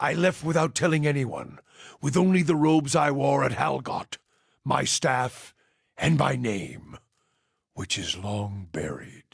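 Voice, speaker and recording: A man puts on a character voice at a medium pitch. He speaks at a fairly slow pace, with long, frequent pauses. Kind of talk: fantasy game companion monologue. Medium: video game. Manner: grave, measured, brooding.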